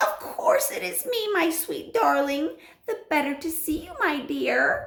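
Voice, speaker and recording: In a put-on character voice, a woman speaks at an extremely high pitch. Her pace is fairly slow. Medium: read story. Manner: wheedling.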